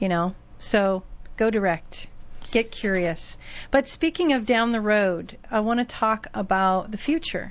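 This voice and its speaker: A woman's fairly high voice, an ordinary speaking voice, at a fairly slow pace with lively intonation. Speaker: radio host. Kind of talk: radio interview. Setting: radio studio.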